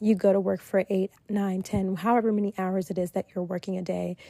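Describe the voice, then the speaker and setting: With fairly even intonation, a woman speaks in a dark, mellow tone, and the sound is dry and close with no echo. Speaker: podcast host. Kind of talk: casual monologue podcast. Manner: hesitant with fillers.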